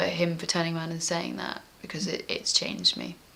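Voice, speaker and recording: A woman's voice over noticeable background noise. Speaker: interviewee sharing personal experience. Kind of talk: interview. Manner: loud.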